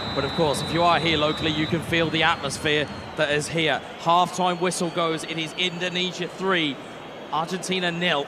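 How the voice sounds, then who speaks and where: A man with a British accent speaks at a moderate pace in a high pitch. Noticeable background noise and audible room echo surround him. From UK. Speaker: esports commentator. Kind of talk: live commentary. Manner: animated.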